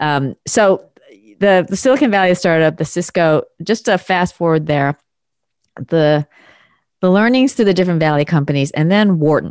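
Here a woman with a fairly low voice speaks at a moderate pace, with long, frequent pauses. Her intonation is lively while her loudness stays very even. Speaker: podcast host and communication coach. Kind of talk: interview conversation.

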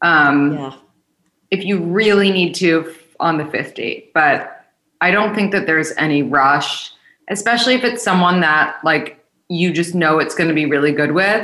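There is audible room echo as a woman with a fairly low pitch and a bright, sharp tone talks at a moderate pace with ordinary pitch variation. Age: 20s. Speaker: dating podcast host and matchmaker. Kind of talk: casual interview.

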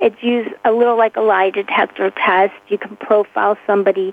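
With an American accent, a woman speaks in a normal speaking voice at a fairly high pitch and a moderate pace. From Pittsburgh, Pennsylvania. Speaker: handwriting expert. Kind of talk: interview.

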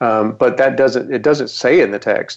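A man with an American accent talks with vocal fry. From US South, Western North Carolina. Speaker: professor. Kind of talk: interview.

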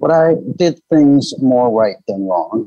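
A man speaks with a Midwestern American accent. His intonation is lively. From Michigan, US (Detroit suburbs). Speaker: business executive. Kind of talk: interview.

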